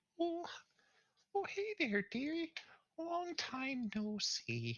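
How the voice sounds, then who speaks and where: High pitch marks this put-on character voice. The delivery is very slow. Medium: actual play. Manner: doting, rambling.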